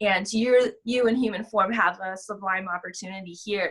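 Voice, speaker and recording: A woman's normal speaking voice at a medium pitch, with ordinary pitch variation and a moderate pace. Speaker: spiritual channeler. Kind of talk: casual chat.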